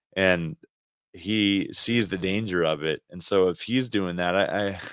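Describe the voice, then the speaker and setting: Over a silent background in a very clean recording, a man speaks at a fairly slow pace, his very deep, low pitch moving with ordinary variation. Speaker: podcast co-host, ministry leader. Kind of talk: casual chat.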